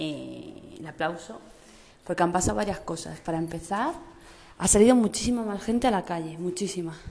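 Here a woman speaks at a moderate pace with a fairly low pitch. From Madrid, Spain. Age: 30s. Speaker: vlogger mother. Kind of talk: casual family video diary. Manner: animated.

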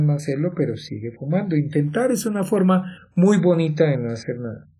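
Fairly high-pitched man's voice, dark and mellow in tone, at a moderate pace with lively intonation. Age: 50s. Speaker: life coach and podcast host. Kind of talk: motivational monologue.

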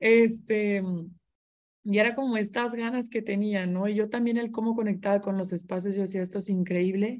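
A woman talks at a moderate pace with a medium pitch and monotone, flat intonation. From Mexico, Monterrey. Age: 20s. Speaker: interior designer and business owner. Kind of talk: casual interview chat.

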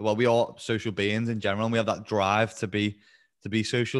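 With a Liverpool accent, a medium-pitched man talks at a very fast pace in a very clean recording with a silent background. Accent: Liverpool (Scouse). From Liverpool, England. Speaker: online fitness coach. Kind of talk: casual interview chat. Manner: fast talker.

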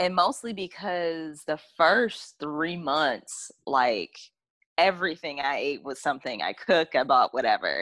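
With an American accent, a woman in an unremarkable speaking voice talks at a fairly slow pace and a fairly low pitch, using lively intonation. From US South. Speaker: podcast co-host. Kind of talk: casual chat.

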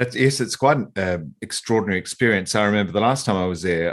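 A man's fairly quick, lively-intoned speech comes through against a quiet background. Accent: Australian. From eastern Australia. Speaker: podcast host. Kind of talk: interview.

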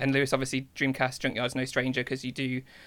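The speaker is a man. His voice has vocal fry. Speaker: podcast host. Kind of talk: casual chat. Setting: video call.

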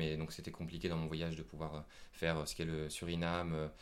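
A man's very deep, low voice in a monotone, flat intonation, at a moderate pace, with audible room echo. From France. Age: 20s. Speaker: traveller. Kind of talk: interview. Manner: halting.

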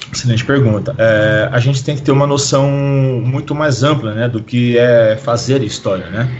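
A man speaks at a moderate pace with hardly any pauses, his medium pitch and fairly even intonation set against noticeable background noise and audible room echo. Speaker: hip hop historian and teacher. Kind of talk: podcast interview.

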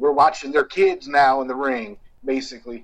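At a moderate pace, a man with a Southern US accent speaks at a fairly high pitch. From Louisiana and Texas (Houston, Dallas). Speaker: wrestling photographer and promoter. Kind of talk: interview.

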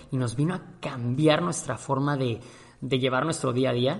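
A man with a Mexican accent talks at a fairly quick pace in a fairly high pitch. His voice is somewhat breathy, and his intonation is fairly even. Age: 30s. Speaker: podcast host. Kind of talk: casual monologue.

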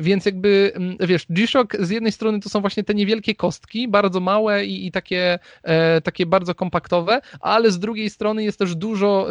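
Delivered at a fairly quick pace in a Polish accent, the voice keeps fairly even intonation with a dry, close sound and no echo. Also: man. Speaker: YouTube watch reviewer and front-end developer. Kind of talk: casual interview conversation. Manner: hesitant, repeats words, filler words.

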